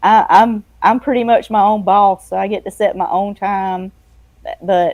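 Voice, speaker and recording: A woman with a dark, mellow tone, fairly even intonation and a moderate pace. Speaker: freelance editor and book layout designer. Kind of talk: casual interview chat. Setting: live streamed show.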